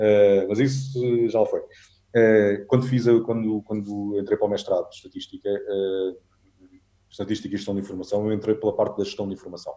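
The man's voice is fairly low, with a dark, mellow tone and monotone, flat intonation. He keeps a moderate pace, but his loudness swings a lot. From Portugal, Alentejo (Vendas Novas). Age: 40s. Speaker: travel photographer and adventure tour operator. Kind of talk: casual interview chat.

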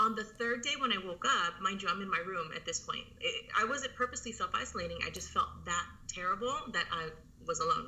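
Noticeable background noise runs under a woman speaking at a fairly quick pace. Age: 30s. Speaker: army veteran. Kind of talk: casual chat.

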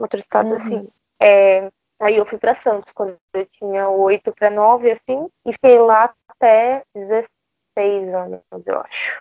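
At a fairly slow pace, a woman with a fairly high pitch speaks in a fairly even intonation. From Brazil, Bahia (Salvador). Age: 20s. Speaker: advertising professional. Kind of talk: casual chat. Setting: video call.

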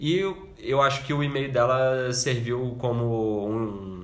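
There is noticeable background noise behind a man's voice. His pitch is medium with ordinary variation. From Brazil, Minas Gerais. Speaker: podcast co-host, architect. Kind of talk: casual chat.

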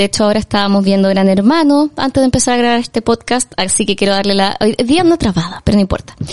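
A woman's voice with lively intonation. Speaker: film podcast host. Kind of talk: casual chat. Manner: animated.

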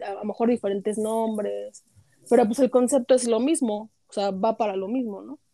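In an ordinary speaking voice, a woman talks at a fairly high pitch and moderate pace with ordinary pitch variation, the sound dry and close with no echo. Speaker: podcast panelist. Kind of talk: casual chat.

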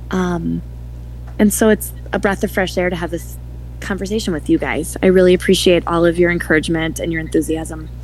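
Noticeable background noise fills this clip. A woman with an American accent speaks at a fairly quick pace. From Wisconsin, Milwaukee. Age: 40s. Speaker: author. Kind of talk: interview.

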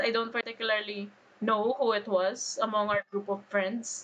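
A woman has an ordinary speaking voice with a fairly high pitch. She talks at a moderate pace. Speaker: podcast host. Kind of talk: casual chat, nerdy banter.

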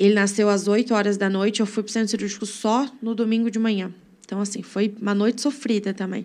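A woman talks at a very fast pace with a medium pitch. Her intonation is monotone and flat. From Brazil, Brodowski (São Paulo state). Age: 20s. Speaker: church member. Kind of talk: testimony.

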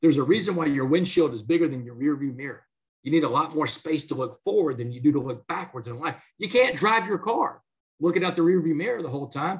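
With an American accent, a man speaks at a very fast pace in a fairly high voice, with lively intonation and big swings in loudness. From Southeast Texas (Port Arthur). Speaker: motivational speaker and author, former prisoner. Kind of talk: interview testimony.

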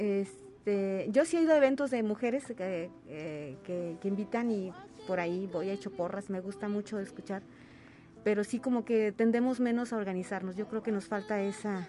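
A woman's lively intonation at a moderate pace, with noticeable background noise. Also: medium pitch for a woman. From Huasteca region, San Luis Potosí, Mexico. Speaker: singer-songwriter and retired teacher. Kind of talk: radio interview. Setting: radio studio.

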